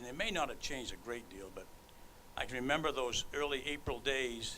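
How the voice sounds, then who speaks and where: With audible room echo, a man talks at a fairly quick pace in a medium pitch. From Maine. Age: 70s. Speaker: hall of fame inductee, former baseball player and veteran. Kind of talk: acceptance speech.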